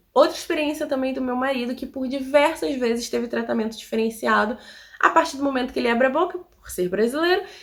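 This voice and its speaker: Very fast delivery with lively intonation and big swings in loudness. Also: woman, high pitch for a woman. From Rio de Janeiro, Brazil. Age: 20s. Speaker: immigrant vlogger. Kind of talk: casual talk to camera.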